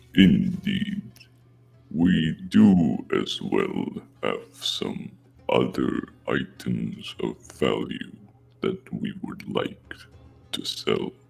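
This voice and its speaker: A man does a put-on character voice at a very slow pace, with long, frequent pauses and music in the background. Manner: very slow, drawn out.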